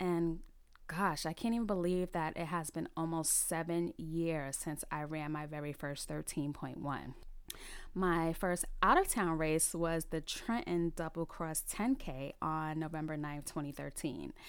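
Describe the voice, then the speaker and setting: Here a woman with a New York accent speaks at a fairly low pitch. She keeps a fairly slow pace with ordinary pitch variation. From New York City, the Bronx. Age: 30s. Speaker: podcast host, recreational runner. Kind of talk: solo podcast monologue.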